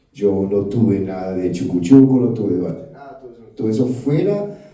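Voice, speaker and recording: A man speaks at a fairly slow pace. Audible room echo and noticeable background noise surround his voice. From United States (raised from age 4). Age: 60s. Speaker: rock guitarist. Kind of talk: interview. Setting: live event with audience at rock museum.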